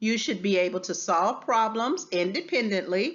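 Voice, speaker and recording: A woman with a plain, everyday voice talks at a medium pitch and a fairly slow pace, her intonation lively. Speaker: teacher. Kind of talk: tutorial.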